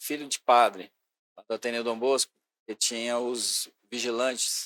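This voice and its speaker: A man at medium pitch, talking at a fairly slow pace, with a dry, close sound and no echo. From Goiás, Brazil (Goiânia area). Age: 60s. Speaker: sports and youth secretary. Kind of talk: podcast interview, life story.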